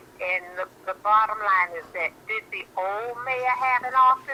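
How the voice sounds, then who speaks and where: Noticeable background noise runs beneath a woman who keeps a moderate pace and ordinary pitch variation. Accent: American. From Miami, Florida. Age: 60s. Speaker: caller. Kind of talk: phone-in talk show.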